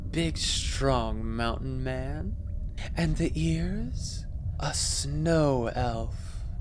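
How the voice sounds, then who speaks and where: A man puts on a soft-spoken character voice at a very slow pace while loud background noise plays behind him. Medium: read story. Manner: languid, sensual.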